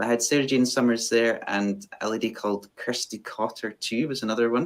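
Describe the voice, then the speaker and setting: A man in a west of Scotland accent, medium-pitched, fairly quick, with fairly even intonation. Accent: west of Scotland Scottish. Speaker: fiddle player. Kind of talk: interview. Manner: halting, many fillers.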